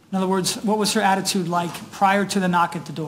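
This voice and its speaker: Her voice is somewhat breathy and sits at a medium pitch for a woman. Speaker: prosecutor. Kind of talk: courtroom direct examination and argument. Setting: courtroom.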